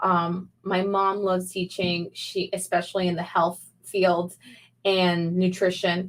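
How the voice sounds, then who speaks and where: A woman with a Spanish accent at a fairly slow pace. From Peru. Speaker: small business owner and video coach. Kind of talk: live interview. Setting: livestream video call.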